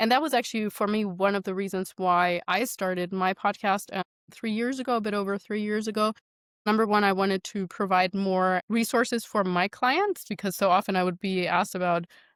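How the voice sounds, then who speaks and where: Speaking at a fairly quick pace, a woman has a non-native accent and fairly even intonation. The sound is dry and close, with no echo. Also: medium pitch for a woman. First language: not English. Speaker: nutrition and fitness coach. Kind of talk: interview conversation.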